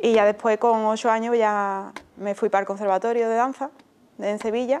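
At a moderate pace, a woman talks. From Andalusia, Spain (Utrera, Seville); Andalusia. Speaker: flamenco dancer; interviewee. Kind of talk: interview. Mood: calm, reflective. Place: studio.

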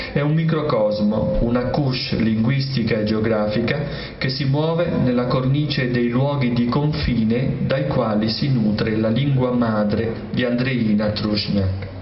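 With ordinary pitch variation, a man speaks at a fairly slow pace with hardly any pauses, audible room echo and light background noise. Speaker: literary critic. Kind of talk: jury citation reading. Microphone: podium.

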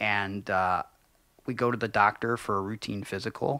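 In an Ohio accent, the voice has a bright, sharp tone and monotone, flat intonation. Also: man, quiet background, dry sound with no echo. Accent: Midwestern American (Ohio). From Cleveland, Ohio. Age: 30s. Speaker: professional wrestler; podcast guest. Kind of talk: casual interview chat. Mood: reflective, earnest. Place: studio. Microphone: studio mic.

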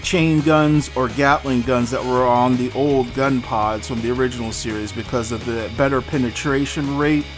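Over clear background music, a man speaks at a fairly slow pace with ordinary pitch variation. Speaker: toy reviewer. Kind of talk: product review commentary. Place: home room.

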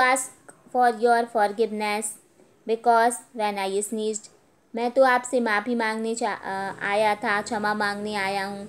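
This woman has a plain, everyday voice, pitched fairly high. Her intonation stays fairly even. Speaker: school teacher. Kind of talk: lecture. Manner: reads English text then translates to Hindi.

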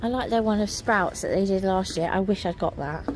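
A woman's voice, dry with no echo, against light background noise. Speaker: shopping vlogger. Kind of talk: casual vlog chat. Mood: delighted, cooing. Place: shop. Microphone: phone near.

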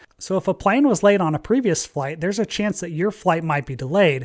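In a quiet setting, a man talks fairly quickly, his pitch varying in an ordinary way. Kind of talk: commentary. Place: home room. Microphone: studio mic.

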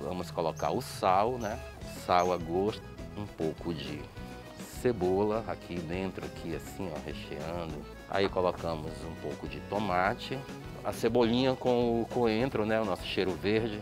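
Clear music plays behind a man's voice. He speaks at a fairly slow pace with a very deep, low pitch. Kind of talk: cooking tutorial. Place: cafe.

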